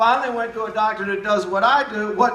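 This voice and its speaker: In a Southern US accent, a man speaks at a fairly quick pace in a high, raised, projected voice with fairly even intonation. Audible room echo and noticeable background noise fill the recording. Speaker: naturopathic doctor. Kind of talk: speech.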